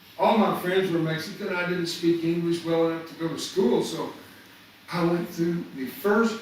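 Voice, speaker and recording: A man with an American accent speaks at a high pitch. Noticeable background noise and audible room echo surround him. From US South. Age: 70s. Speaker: motivational speaker. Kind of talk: motivational talk. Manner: animated.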